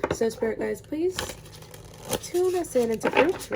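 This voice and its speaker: Very wide swings in pitch from a woman, with background noise clearly present. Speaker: tarot reader. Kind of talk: tarot reading, casual. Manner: casual, filler-heavy.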